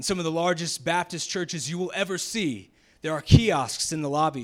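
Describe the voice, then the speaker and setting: It's a plain, everyday voice, with an American accent. The speech moves at a moderate pace. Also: man. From US South, Jacksonville, Florida. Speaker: pastor. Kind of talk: sermon.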